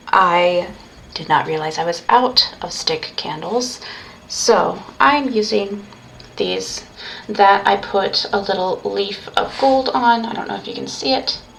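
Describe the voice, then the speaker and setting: A woman at a medium pitch with lively intonation, speaking at a very slow pace over noticeable background noise. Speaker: pagan ritual practitioner streaming. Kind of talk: livestreamed ritual walkthrough. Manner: halting, self-correcting.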